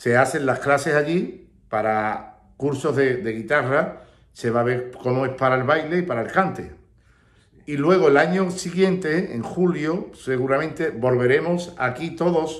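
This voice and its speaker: A man at a fairly slow pace, with ordinary pitch variation and audible room echo. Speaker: flamenco teacher. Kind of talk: casual vlog chat. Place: home room. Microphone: phone near.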